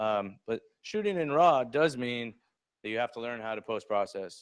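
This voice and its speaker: The recording of a man is dry and close with no echo, over a quiet background. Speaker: photography instructor. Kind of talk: workplace lecture. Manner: fast; casual, many fillers.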